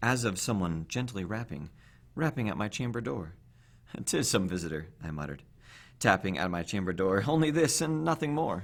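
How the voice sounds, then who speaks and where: A man speaks at a moderate pace in a fairly low voice with very wide pitch swings, recorded very cleanly against a silent background. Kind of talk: poetry reading, dramatic horror narration.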